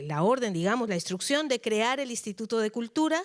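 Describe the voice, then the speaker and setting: On a very clean recording over a silent background, the speech has lively intonation. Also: woman. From Colombia. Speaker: cultural manager. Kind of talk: lecture. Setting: auditorium.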